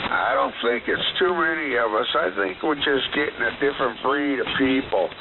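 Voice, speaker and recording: A man's fairly high voice at a moderate pace, with ordinary pitch variation, very even loudness and noticeable background noise. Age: 60s. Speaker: amateur radio operator. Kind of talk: casual radio chat. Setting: shortwave radio transmission.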